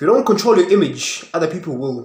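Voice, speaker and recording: Lively intonation and an animated tone mark this man's speech in a South African accent. His pitch is high for a man. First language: Zulu. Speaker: podcaster. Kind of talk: casual monologue. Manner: halting.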